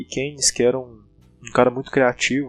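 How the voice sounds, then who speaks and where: A man speaks with music in the background. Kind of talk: casual spoken monologue on economic history. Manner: hesitant, informal.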